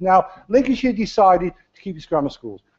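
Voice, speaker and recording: Speaking at a moderate pace with an East Midlands accent, a man uses a high voice that swings very widely in pitch. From English Midlands, Leicester. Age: 70s. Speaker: county councillor, retired teacher. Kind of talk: council debate speech. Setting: council chamber. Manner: hesitant, repeats words.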